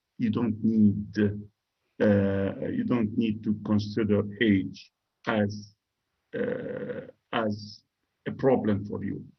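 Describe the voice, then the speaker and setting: With audible room echo, a man speaks at a very slow pace, leaving long, frequent pauses. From Syria. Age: 60s. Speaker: professor and former politician. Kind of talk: interview. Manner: halting.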